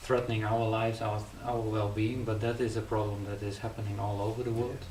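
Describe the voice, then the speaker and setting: In a Frisian accent, a man with a fairly low pitch talks at a fairly quick pace in a flat monotone, with audible room echo and noticeable background noise. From Friesland, Netherlands. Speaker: poet. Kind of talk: casual interview.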